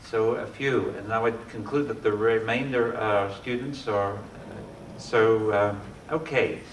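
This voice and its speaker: There is audible room echo and noticeable background noise as a man talks at a fairly slow pace. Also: medium pitch for a man, fairly even intonation. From Australia. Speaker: architect. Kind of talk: lecture. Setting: lecture hall with audience.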